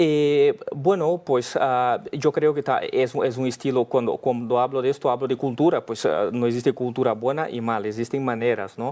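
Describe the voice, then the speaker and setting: A man with a Brazilian accent talks at a moderate pace with hardly any pauses, at medium pitch with ordinary pitch variation. Noticeable background noise is present. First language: Portuguese (speaking Spanish). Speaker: business leader. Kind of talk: interview. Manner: halting.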